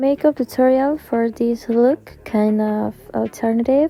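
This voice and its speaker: Over music in the background, a woman speaks at a fairly slow pace and fairly high pitch in an Argentine accent. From Argentina. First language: Spanish. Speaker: beauty vlogger. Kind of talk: tutorial.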